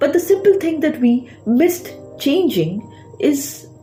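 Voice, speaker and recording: A woman speaks with a high pitch and very wide pitch swings. Her pace is fairly slow, with music in the background. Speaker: public speaking coach. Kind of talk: educational talk to camera.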